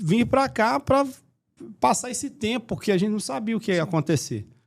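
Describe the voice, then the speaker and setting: With a Minas Gerais accent, a man talks at a moderate pace with very wide pitch swings, on a very clean recording with a silent background. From Minas Gerais, Brazil. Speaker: marketing agency owner. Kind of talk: podcast interview.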